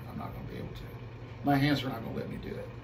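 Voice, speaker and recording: Room echo is audible on this recording. A man talks over noticeable background noise. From US Midwest (Missouri, Illinois). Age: 60s. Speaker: guitarist and music teacher. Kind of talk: casual interview. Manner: halting, with frequent repetitions.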